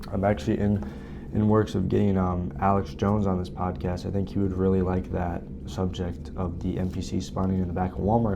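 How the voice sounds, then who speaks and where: A man's very deep, low pitch at a fairly quick pace, with ordinary pitch variation, audible room echo and noticeable background noise. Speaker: podcast host. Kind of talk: casual podcast monologue. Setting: library study room. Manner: keeping voice down.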